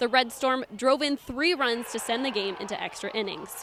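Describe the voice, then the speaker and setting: Amid noticeable background noise, a woman with an American accent speaks at a moderate pace in a high pitch, with ordinary pitch variation. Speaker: college sports reporter and anchor. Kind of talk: live studio analysis answering anchor questions. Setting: studio and broadcast.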